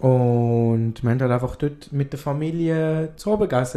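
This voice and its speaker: A man speaks with a dark, mellow tone. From Afghanistan. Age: 20s. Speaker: podcast guest. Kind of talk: casual chat.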